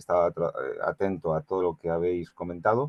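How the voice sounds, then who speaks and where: A man with a Spanish accent speaks in a very deep, low pitch. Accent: Spanish (Spain). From Spain. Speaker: audience member asking a question. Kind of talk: question in a forum. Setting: online forum. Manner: halting.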